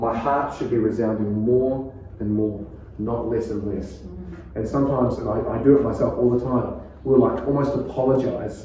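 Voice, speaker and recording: A man speaks at a moderate pace with a medium pitch and fairly even intonation. The room echo is audible, and background noise is noticeable. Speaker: pastor. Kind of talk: preaching workshop lecture. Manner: calm.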